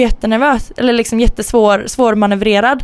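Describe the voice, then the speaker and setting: A woman with a plain, everyday voice, fairly high in pitch, at a fairly quick pace. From Sweden, Gothenburg. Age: 20s. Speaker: podcast co-host and university student. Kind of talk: casual chat.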